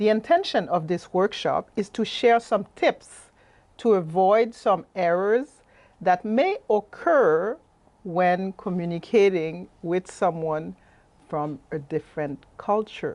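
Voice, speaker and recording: In a quiet setting, a woman speaks at a very slow pace. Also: medium pitch for a woman, ordinary pitch variation. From Haiti. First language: French. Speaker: life coach and workshop presenter. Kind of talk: presentation. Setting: webinar.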